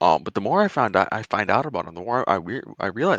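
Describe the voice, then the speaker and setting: A man with a fairly low pitch and a bright, sharp tone speaks at a fairly quick pace with very wide pitch swings, the sound dry and close with no echo and the background quiet. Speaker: podcast co-host. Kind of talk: casual chat. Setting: basement.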